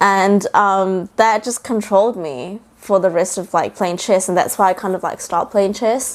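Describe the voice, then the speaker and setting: A woman with a New Zealand accent at a moderate pace, her intonation fairly even and her pauses hardly any. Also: medium pitch for a woman. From New Zealand (Auckland), first six years in Shanghai. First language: Mandarin. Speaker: bakery founder. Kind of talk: podcast interview.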